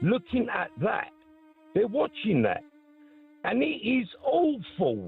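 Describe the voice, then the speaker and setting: A man talks very slowly, pausing often and at length, while music plays behind him. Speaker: caller. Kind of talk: phone-in call. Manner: animated.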